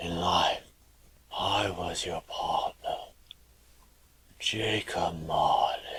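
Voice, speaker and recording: Using a raspy, put-on character voice, a man speaks at a very slow pace with long, frequent pauses. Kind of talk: radio drama.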